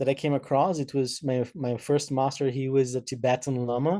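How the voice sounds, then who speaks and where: This man has a fairly high pitch and a dark, mellow tone. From Brazil. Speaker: massage therapist and meditation teacher. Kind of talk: talk to a virtual audience. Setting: video call. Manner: halting, many fillers.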